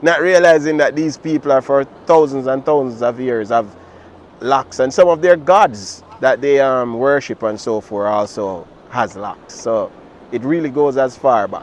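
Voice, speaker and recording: Noticeable background noise behind a man at a moderate pace, medium in pitch, with ordinary pitch variation. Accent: Jamaican. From Jamaica. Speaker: dub poet. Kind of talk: interview answer.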